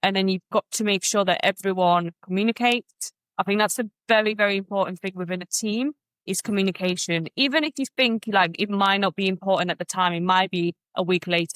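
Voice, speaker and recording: A woman speaks in a Polish accent at a medium pitch and fairly quick pace. Her pitch varies in an ordinary way, and the sound is dry and close with no echo. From Poland. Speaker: business owner. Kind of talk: podcast interview. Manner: halting.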